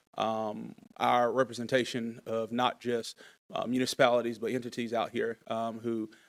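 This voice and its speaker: A man in an eastern North Carolina accent, monotone with flat intonation, on a very clean recording with a silent background. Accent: eastern North Carolina Southern. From eastern North Carolina (Laurinburg, Scotland County). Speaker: lobbyist. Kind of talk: formal presentation to city council. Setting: city council meeting.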